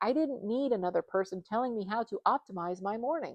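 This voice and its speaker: A plain, everyday voice: a woman, fairly high-pitched, lively in intonation, at a moderate pace. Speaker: somatic breathwork practitioner; stay-at-home mom. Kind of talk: casual talk to camera.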